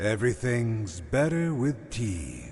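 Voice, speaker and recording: Putting on a character voice, a man speaks at a fairly slow pace and medium pitch with very wide pitch swings over clear background noise. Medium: video game. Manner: sweet yet unsettling.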